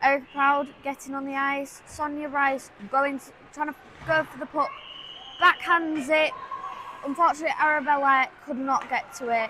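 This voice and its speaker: Against noticeable background noise, a woman with a high pitch projects a raised voice at a moderate pace. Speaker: amateur livestream commentator. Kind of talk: live commentary. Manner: hesitant, many fillers; loud, speaking over background noise.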